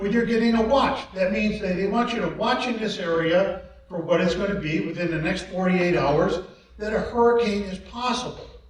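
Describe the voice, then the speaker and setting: Moderate pace and ordinary pitch variation, along with audible room echo and noticeable background noise. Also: man. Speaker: emergency squad chief. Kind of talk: community workshop presentation.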